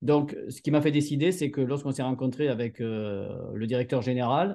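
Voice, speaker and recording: A man with a Montpellier accent speaks at a moderate pace in a medium pitch with ordinary pitch variation. His tone is dark and mellow against a quiet background. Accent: southern French, Montpellier. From southern France, Montpellier area. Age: 40s. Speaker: entrepreneur. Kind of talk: interview. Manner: hesitant, many fillers and repeated words.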